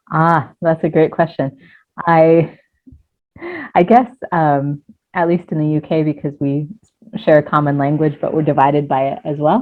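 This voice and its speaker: A woman with an American accent, a very deep, low pitch, ordinary pitch variation and long, frequent pauses. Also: moderate pace. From United States. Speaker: life coach. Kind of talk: interview conversation. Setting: video call.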